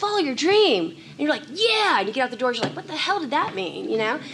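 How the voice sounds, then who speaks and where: A woman's very fast speech with very wide pitch swings and hardly any pauses, over noticeable background noise. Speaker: commercial voice actor. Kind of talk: conference panel talk.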